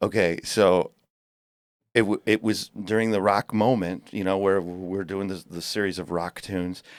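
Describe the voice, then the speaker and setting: On a very clean recording with a silent background and a dry, close sound with no echo, a man speaks at a moderate pace in a fairly low pitch with monotone, flat intonation. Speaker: tribute band singer. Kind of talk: casual interview chat. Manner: stuttering, halting.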